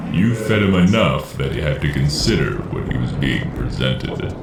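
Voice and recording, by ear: A man puts on a character voice at an extremely low pitch, swinging widely in pitch at a moderate pace over clear background noise.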